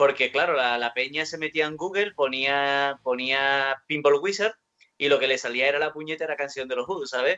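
Speaking at a moderate pace, a man with an Andalusian accent has a fairly high pitch. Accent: southern Spanish (Andalusian). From Andalusia, southern Spain. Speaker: rock guitarist. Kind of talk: interview.

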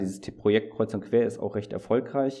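Talking at a very fast pace, a man's voice has a dark, mellow tone. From Germany, small spa town. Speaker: researcher. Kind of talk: casual chat.

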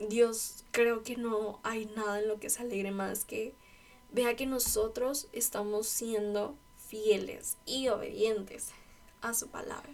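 A woman talks at a very slow pace with monotone, flat intonation. Her pitch is fairly high. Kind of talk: devotional talk. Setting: at home in her bedroom. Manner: casual.

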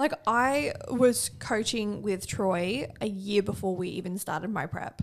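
A woman with an Australian accent and a medium pitch speaks at a fairly slow pace with hardly any pauses and lively intonation, over noticeable background noise. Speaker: podcast co-host and bikini competitor. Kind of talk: casual chat.

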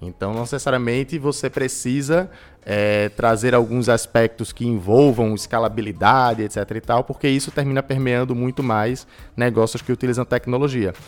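A man's unremarkable speaking voice at medium pitch, moderate in pace, with fairly even intonation. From Recife, Brazil. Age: 20s. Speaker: entrepreneurship and innovation specialist. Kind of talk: interview.

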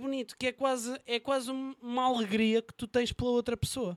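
A man's extremely high voice with a European Portuguese accent, monotone and flat, in a dry, close sound with no echo. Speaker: podcast host and news portal interviewer. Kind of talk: casual chat.

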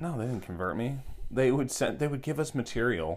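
A man speaks with vocal fry. His pace is fairly quick. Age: 30s. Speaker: podcast host. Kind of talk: casual chat. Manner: joking, talkative.

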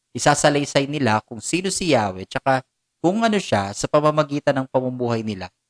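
Recorded dry and close with no echo, a man talks at a moderate pace with very wide pitch swings. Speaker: Bible teacher. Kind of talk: Bible teaching talk.

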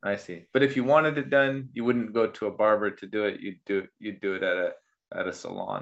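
A fairly quick man's voice, a normal speaking voice at medium pitch, with ordinary pitch variation. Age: 40s. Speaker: podcast host. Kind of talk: casual chat.

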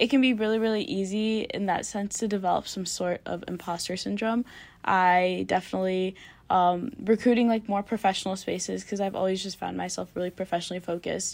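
With an American accent, a woman speaks at a fairly quick pace in an ordinary speaking voice. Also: medium pitch for a woman, fairly even intonation, very clean recording, silent background. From Michigan, US (Canton). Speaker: university student and tour guide. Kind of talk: casual panel discussion.

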